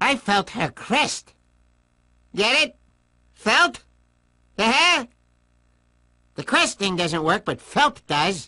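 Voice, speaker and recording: In a put-on character voice with a fairly high pitch and very wide pitch swings, the speaker goes at a very slow pace with long, frequent pauses against a quiet background. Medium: video game. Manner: theatrical, gloating.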